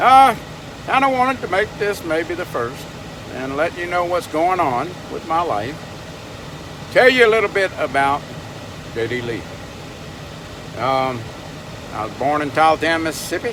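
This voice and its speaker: With noticeable background noise, a man in a Southern US accent talks at a moderate pace in a high pitch. Long, frequent pauses break up his speech, and his pitch swings very widely. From US South, Louisiana (Baton Rouge). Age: 70s. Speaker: vlogger. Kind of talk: casual vlog monologue.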